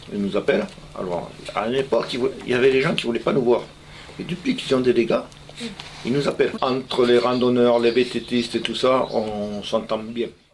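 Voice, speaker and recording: A man with a medium pitch talks at a moderate pace, leaving long, frequent pauses, against noticeable background noise. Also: ordinary pitch variation. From Dordogne, France (Champcevinel). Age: 60s. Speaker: hunting club president. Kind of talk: interview. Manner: hesitant, with fillers.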